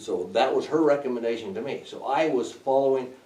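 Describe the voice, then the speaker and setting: Noticeable background noise and audible room echo fill the clip. The speaker is a man. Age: 70s. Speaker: landowner addressing county commissioners. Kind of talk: public comment at county meeting.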